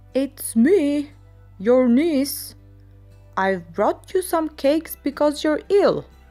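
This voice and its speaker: A woman's put-on character voice, gruff and high-pitched, delivered at a very slow pace over faint music in the background. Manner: hiding a gruff voice, disguised.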